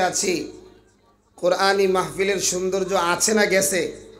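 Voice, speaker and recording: The voice has monotone, flat intonation, heard with audible room echo and noticeable background noise. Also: man. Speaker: Islamic preacher. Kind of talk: sermon. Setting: stage with audience at religious gathering. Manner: loud, call-and-response with audience.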